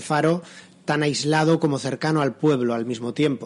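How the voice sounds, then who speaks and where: A man talks at a moderate pace. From San Sebastián, Basque Country, Spain. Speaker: crime novelist. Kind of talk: interview. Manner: halting, many repetitions.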